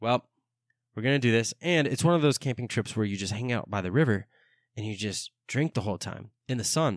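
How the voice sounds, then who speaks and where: A normal speaking voice at a fairly quick pace, with ordinary pitch variation and a dry, close sound with no echo against a quiet background. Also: man, medium pitch for a man. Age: 20s. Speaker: podcast host. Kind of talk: casual solo monologue.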